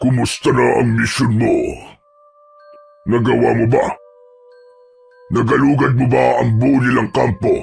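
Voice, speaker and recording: Using a put-on character voice, a man speaks at medium pitch with very even loudness and long, frequent pauses. Faint music plays in the background. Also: fairly slow pace. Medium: read story. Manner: commanding.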